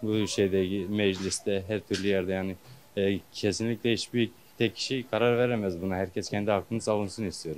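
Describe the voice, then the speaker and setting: Using a plain, everyday voice, a man keeps fairly even intonation at a moderate pace. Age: young. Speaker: worker interviewed in street poll. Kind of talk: vox pop interview.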